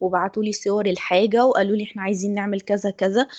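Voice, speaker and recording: Woman with an Egyptian accent, fairly high pitch, dark, mellow tone, monotone, flat intonation. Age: 20s. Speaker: design student. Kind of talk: testimony.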